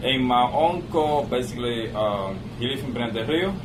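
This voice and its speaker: A man talks at medium pitch with ordinary pitch variation. Noticeable background noise and audible room echo are present. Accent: Cuban. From Cuba. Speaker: cigar lounge owner. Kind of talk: casual interview. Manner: halting.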